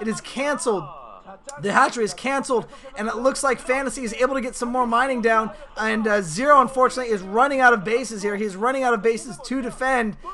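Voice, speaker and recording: Over noticeable background noise, a man speaks very fast in a raised, projected voice at an extremely high pitch. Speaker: esports commentator. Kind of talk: live commentary. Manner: animated.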